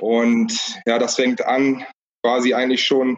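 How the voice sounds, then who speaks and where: Fairly slow, medium-pitched speech from a man. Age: 30s. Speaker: cycling support crew member. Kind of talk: casual interview.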